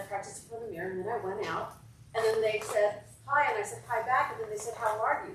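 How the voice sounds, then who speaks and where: Speaking at a very fast pace, a woman with a fairly high pitch and ordinary pitch variation is heard over noticeable background noise and audible room echo. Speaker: congregation member. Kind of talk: group Bible discussion. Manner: halting.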